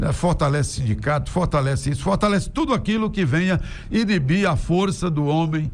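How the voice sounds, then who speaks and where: A man's voice at a fairly quick pace, with lively intonation and noticeable background noise. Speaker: radio and TV announcer, opinion commentator. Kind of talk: opinion commentary to camera, political talk.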